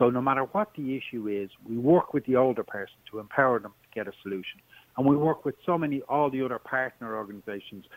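A man with an Irish accent talks at a very fast pace and medium pitch, with ordinary pitch variation and big swings in loudness, in a dry, close sound with no echo. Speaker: charity support coordinator. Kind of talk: radio interview.

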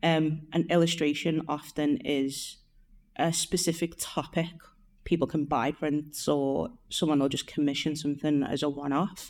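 A woman with a Liverpool accent speaks at a moderate pace in a very deep, low pitch with fairly even intonation, on a very clean recording with a silent background. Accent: Liverpool (Scouse). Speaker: artist, illustrator and painter. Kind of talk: interview. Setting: mansion house, in person. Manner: casual, with fillers.

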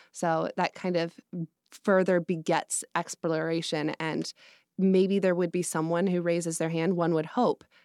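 A woman with a plain, everyday voice speaks in an American accent, fairly low in pitch with fairly even intonation at a moderate pace. The recording is very clean with a silent background and a dry, close sound with no echo. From Colorado. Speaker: market researcher and grad student. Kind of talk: casual chat.

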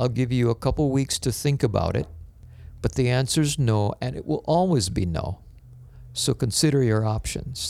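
A man with an unremarkable speaking voice talks at a moderate pace. His pitch sits in the medium range and his intonation is lively. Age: 60s. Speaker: pastor. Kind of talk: interview conversation.

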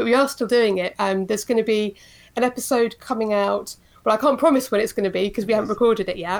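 At a very fast pace, a woman with a British accent talks at a fairly high pitch with ordinary pitch variation. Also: very clean recording, silent background. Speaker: podcaster, co-host of a TV show podcast. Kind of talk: casual interview chat.

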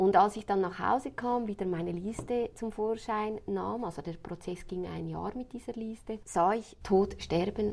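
At a moderate pace, a woman speaks in a normal speaking voice, her pitch varying in an ordinary way. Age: 30s. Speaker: funeral planner. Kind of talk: interview.

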